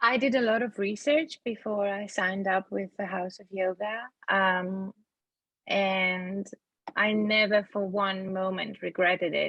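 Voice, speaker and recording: A woman uses a normal speaking voice at a medium pitch and a fairly slow pace. Her intonation stays fairly even while her loudness swings widely. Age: 40s. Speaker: yoga teacher training graduate. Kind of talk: podcast interview.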